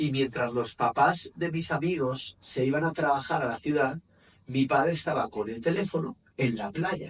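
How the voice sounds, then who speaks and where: The voice is somewhat breathy and moves at a moderate pace. Its pitch variation is ordinary. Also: man, fairly high pitch for a man. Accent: Spanish. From Spain, Valencia area. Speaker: men's coach and therapist. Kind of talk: interview.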